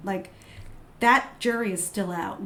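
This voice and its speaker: Over noticeable background noise and audible room echo, the speaker has an animated tone. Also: woman. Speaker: author and perfume critic. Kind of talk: casual interview chat. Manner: soft-spoken.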